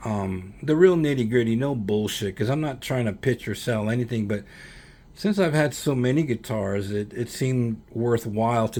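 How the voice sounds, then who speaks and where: This man has a dark, mellow tone at a medium pitch, with ordinary pitch variation and a moderate pace. The recording is very clean, with a silent background. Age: 60s. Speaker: guitar hobbyist YouTuber. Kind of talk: casual monologue. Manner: casual, rambling with fillers.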